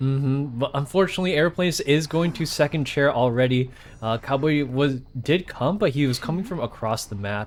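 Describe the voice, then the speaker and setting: Fairly quickly, a man talks with ordinary pitch variation. His is a normal speaking voice. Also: fairly high pitch for a man. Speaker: tournament host and game commentator. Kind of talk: live commentary.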